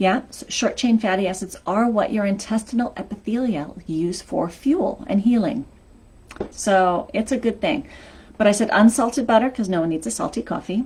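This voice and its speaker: At a moderate pace, a woman speaks in an energetic tone, somewhat breathy and fairly high in pitch with ordinary variation. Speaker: health coach. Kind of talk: live stream talk.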